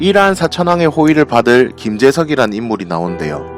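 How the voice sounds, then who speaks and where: A man with a Busan accent speaks at a moderate pace with very wide pitch swings. Music plays in the background. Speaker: movie review YouTuber. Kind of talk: movie review narration.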